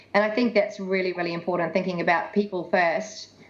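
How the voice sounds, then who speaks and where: A woman speaks at a very fast pace with a fairly low pitch. Her intonation is fairly even, and background noise is noticeable. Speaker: tech industry speaker. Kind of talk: presentation.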